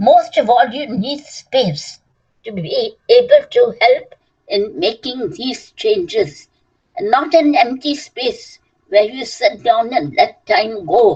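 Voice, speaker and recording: In a high voice with very wide pitch swings, a woman speaks at a very slow pace. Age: 80s+. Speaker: author and former member of the association. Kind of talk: speech at a celebration. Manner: halting.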